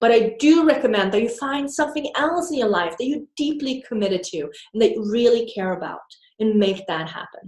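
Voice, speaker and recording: In a Swedish accent, a woman talks at a fairly quick pace. Her pitch sits fairly high and swings very widely. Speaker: business coach. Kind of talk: video talk to camera. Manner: animated.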